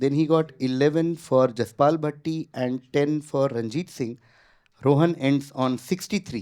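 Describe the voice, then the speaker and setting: A man with an Indian accent, fairly high-pitched, at a moderate pace with ordinary pitch variation, against a quiet background. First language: Hindi. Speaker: quizmaster. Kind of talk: quiz show hosting. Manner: casual, code-switching Hindi and English.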